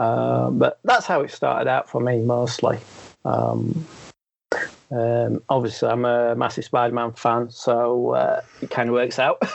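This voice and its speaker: The man speaks at a fairly slow pace with a Sheffield accent. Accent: regional Sheffield. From northern England, Sheffield, Yorkshire. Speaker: sketch card artist and cartoonist. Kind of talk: casual chat. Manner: hesitant, many ums.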